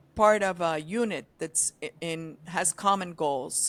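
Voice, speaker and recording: A woman with a plain, everyday voice talks at a fairly slow pace, her pitch fairly low with ordinary variation, in a very clean recording with a silent background. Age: 60s. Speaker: advertising veteran, agency founder. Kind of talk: podcast interview. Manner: conversational, many filler ums.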